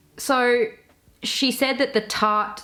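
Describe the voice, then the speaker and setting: A woman with an Australian accent and an animated tone. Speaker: YouTuber, commentary creator. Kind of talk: casual commentary video.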